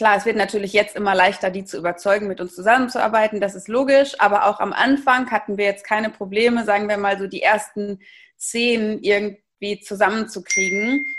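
A woman speaks at a moderate pace with fairly even intonation. Her pitch is fairly high, and the background is quiet. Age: 30s. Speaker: startup founder and managing director. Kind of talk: interview. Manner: hesitant, many filler sounds.

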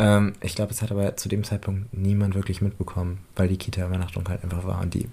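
In a very clean recording with a silent background, a man talks at a fairly quick pace in a very deep, low, somewhat breathy voice with a dark, mellow tone and monotone, flat intonation. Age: 20s. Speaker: podcast co-host and daycare educator. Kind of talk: casual chat.

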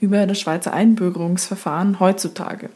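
A woman speaks at a medium pitch with fairly even intonation. She has a normal speaking voice. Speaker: podcast host. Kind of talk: casual chat.

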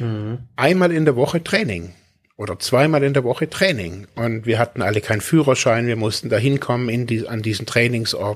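The man keeps a medium pitch with ordinary variation, talking at a moderate pace. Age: 40s. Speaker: podcast co-host, recovering addict. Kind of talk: casual chat. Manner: halting.

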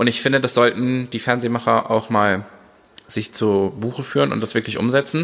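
The voice is a plain, everyday voice, and its delivery keeps a moderate pace. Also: man, medium pitch for a man, ordinary pitch variation. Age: 30s. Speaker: dance teacher and choreographer. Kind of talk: casual chat.

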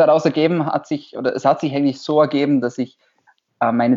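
Here is an ordinary speaking voice of a man with a fairly high pitch. He moves at a fairly quick pace with fairly even intonation. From Austria, Vorarlberg. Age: 20s. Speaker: doctor. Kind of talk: interview.

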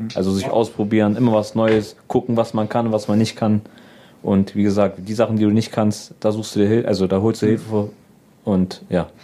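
Moving at a fairly quick pace, a man speaks in a fairly low pitch with a dark, mellow tone and monotone, flat intonation. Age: 20s. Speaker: comedian and video editor. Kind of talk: casual interview chat.

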